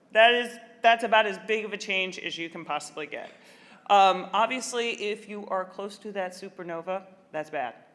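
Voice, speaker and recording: A woman speaks at a moderate pace with a Midwestern accent and a medium pitch. Her pitch varies in an ordinary way while her loudness swings widely. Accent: American Midwest. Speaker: librarian. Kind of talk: keynote speech.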